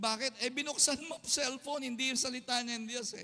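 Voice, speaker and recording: A man speaks in a raised, projected voice with a bright, sharp tone and an extremely high pitch. His pace is moderate. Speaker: pastor. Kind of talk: sermon. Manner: loud; animated.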